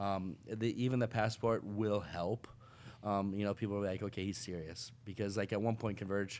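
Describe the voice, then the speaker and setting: A man with an American accent speaks in a normal speaking voice at a moderate pace. His pitch is fairly low and his intonation fairly even. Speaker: missionary pastor. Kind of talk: casual chat.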